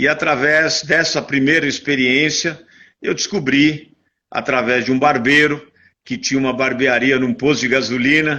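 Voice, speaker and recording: Over a quiet background, a man with a bright, sharp tone speaks at a moderate pace, fairly high in pitch with fairly even intonation. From Brazil, São Paulo. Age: 60s. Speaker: interview guest, networking speaker. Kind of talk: interview, life story. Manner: halting, many fillers and repetitions.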